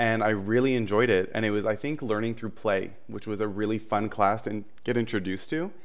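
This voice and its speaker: A man talks at a fairly quick pace. His pitch is fairly low. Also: fairly even intonation. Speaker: early childhood educator. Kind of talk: casual podcast interview. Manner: nervous.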